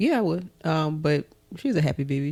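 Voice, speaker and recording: This woman has a very deep, low pitch. Her tone is dark and mellow. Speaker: podcast co-host. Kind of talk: casual chat. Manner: fast when excited.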